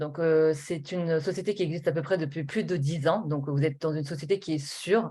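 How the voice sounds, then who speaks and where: Over a quiet background, the speech runs at a moderate pace with ordinary pitch variation. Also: woman. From Normandy, France (Rouen). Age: 20s. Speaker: network marketing presenter. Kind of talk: sales pitch. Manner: hesitant, many fillers.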